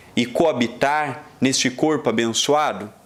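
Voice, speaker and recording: With a Brazilian accent, a man speaks at a very slow pace. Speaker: spiritist lecturer. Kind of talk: lecture.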